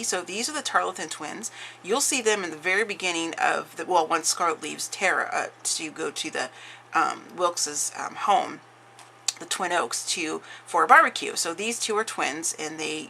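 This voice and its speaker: Big swings in loudness mark a woman's medium-pitched voice, which moves at a moderate pace with lively intonation. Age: 40s. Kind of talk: casual craft flip-through talk to camera.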